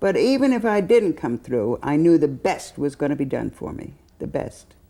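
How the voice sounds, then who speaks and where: At a moderate pace, a woman with a very deep, low pitch and a dark, mellow tone speaks with vocal fry and very wide pitch swings. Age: 80s+. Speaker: hospital patient. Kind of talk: testimony. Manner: halting.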